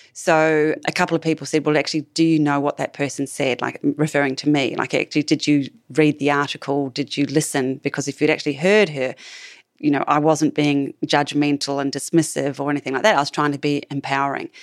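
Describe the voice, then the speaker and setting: A woman's very deep, low voice in an Australian accent, fairly quick and monotone, flat in intonation, with a dry, close sound with no echo in a very clean recording against a silent background. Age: 50s. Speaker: clinical neuropsychologist. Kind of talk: interview.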